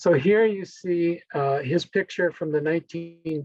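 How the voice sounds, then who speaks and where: The sound is dry and close with no echo as a man speaks with fairly even intonation. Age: 60s. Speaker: historian giving a presentation. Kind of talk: lecture. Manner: halting.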